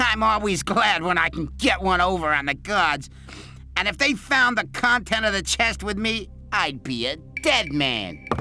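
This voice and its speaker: A put-on character voice at a middle pitch moves at a moderate pace over clear music in the background. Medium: video game. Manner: sly.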